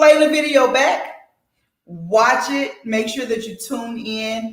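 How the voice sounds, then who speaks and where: Speaking at a fairly slow pace, a woman's voice carries audible room echo. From Tennessee. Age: 40s. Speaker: community talk host. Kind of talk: casual group discussion. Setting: video recording with group.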